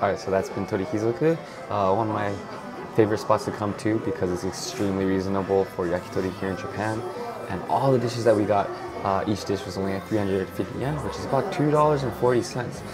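Very fast speech with ordinary pitch variation over clear background music. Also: man. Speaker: food vlogger. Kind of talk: casual vlog chat. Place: bar. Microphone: lapel.

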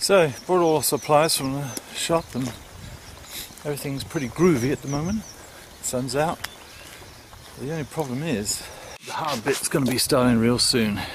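A man speaks at a moderate pace with ordinary pitch variation and long, frequent pauses, the sound dry with no echo but with noticeable background noise. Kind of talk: casual vlog chat. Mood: cheerful. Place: open country. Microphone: phone near.

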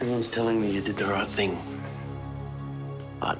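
Over clear background music, a man talks at a very fast pace with ordinary pitch variation. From Australia. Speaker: actor. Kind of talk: acting scenes from film and TV.

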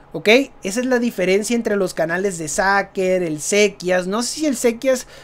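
Someone talks at a moderate pace with a Mexican accent. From Mexico. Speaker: gaming youtuber. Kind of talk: casual vlog commentary. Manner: natural, unscripted.

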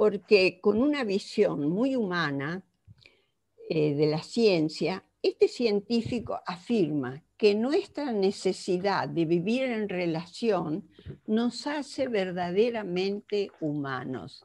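A woman's very slow speech with very wide pitch swings over a quiet background. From Argentina. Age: 80s+. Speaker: psychologist; conference lecturer. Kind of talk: lecture. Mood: earnest, reflective. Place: home room. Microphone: headset.

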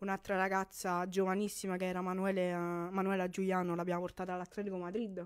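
A woman's fairly low voice over a quiet background. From Campania, Italy. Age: 20s. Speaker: women's five-a-side footballer and sports agent; guest. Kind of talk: radio interview. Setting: radio studio. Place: studio. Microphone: studio mic.

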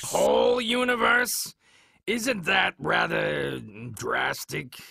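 Putting on a raspy character voice, a man talks at a very slow pace. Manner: dry, sardonic, speaks of himself in third person.

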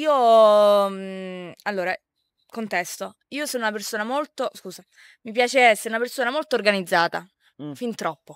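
A woman in an ordinary speaking voice speaks at a moderate pace and a fairly high pitch, with lively intonation and big swings in loudness. The recording is very clean, silent in the background, and dry and close with no echo. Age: 20s. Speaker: social media content creator. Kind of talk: casual interview.

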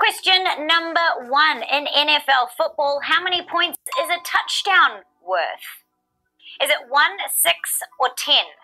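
A woman with a New Zealand accent speaks in a raised, projected voice at a high pitch, with lively intonation and very even loudness. She moves at a fairly slow pace with long, frequent pauses, and faint music plays in the background. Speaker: trivia game show host. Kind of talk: live game show hosting. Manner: animated. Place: studio.

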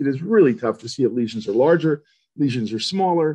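A man at a fairly quick pace, over a quiet background. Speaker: neuroradiologist; presenter. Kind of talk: lecture. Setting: online webinar. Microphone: webcam.

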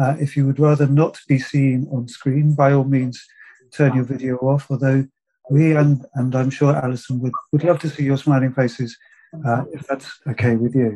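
Over a quiet background, a man with a fairly high pitch, a dark, mellow tone and a somewhat breathy quality speaks at a moderate pace in monotone, flat intonation. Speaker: festival host. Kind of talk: formal introduction of a speaker. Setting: online video call. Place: home room. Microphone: video call.

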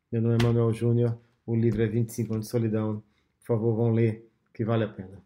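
Over light background noise, a man talks at a fairly quick pace. His medium-pitched voice has a dark, mellow tone and monotone, flat intonation. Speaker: author promoting his audiobook. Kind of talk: promotional talk to camera, with audiobook clips played. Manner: earnest, conversational, hesitant with fillers. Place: home room. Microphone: phone near.

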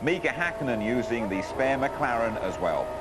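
Music plays in the background. A man talks over it at a medium pitch. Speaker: TV presenter. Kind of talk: scripted TV highlights narration.

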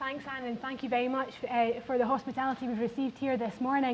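A woman speaks with a Scottish accent. Her voice is high and her pace fairly quick. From Scotland. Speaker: politician; party politician on panel. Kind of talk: panel speech. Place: hall. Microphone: lapel.

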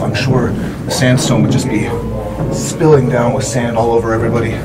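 Loud music plays in the background. A man is speaking over it. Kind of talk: casual vlog chat. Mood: curious, slightly awed. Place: tunnel cave. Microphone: phone near.

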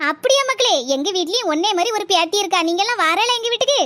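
This woman uses a cartoonish character voice pitched extremely high. She speaks at a fairly quick pace. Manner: affectionate, calls everyone "makkale".

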